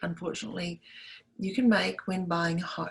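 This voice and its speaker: A woman speaks with a New Zealand accent. Her voice is somewhat breathy. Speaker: realtor. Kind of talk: tutorial. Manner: animated.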